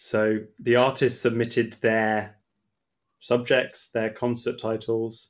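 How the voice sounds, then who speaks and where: In a very clean recording with a silent background, a man with an English accent speaks very slowly in a flat monotone at medium pitch. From England. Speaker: opera singer. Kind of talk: casual interview.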